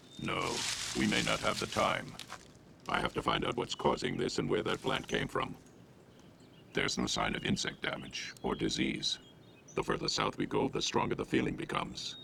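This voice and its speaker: A cartoonish character voice goes at a moderate pace with long, frequent pauses over clear background noise. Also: man. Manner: solemn, slow, grave.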